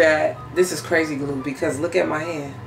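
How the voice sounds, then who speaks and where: A woman's voice over clear music in the background. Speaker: vlogger. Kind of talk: casual vlog chat. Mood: puzzled, mildly annoyed. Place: kitchen.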